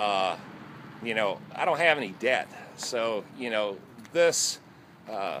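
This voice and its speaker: Over light background noise, a man with a fairly low pitch and lively intonation has an unremarkable speaking voice. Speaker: equipment buyer vlogger. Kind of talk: casual vlog chat. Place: street. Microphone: phone near.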